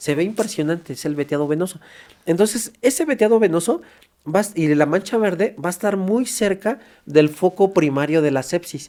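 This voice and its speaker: Lively intonation marks a man's high-pitched voice with a dark, mellow tone. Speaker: forensic doctor. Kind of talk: podcast interview. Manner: fast.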